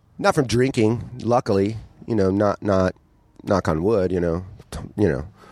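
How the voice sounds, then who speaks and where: In a dry, close sound with no echo, a man with an unremarkable speaking voice talks at a moderate pace, his pitch fairly low with ordinary variation. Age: 40s. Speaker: comedian. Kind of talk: casual chat.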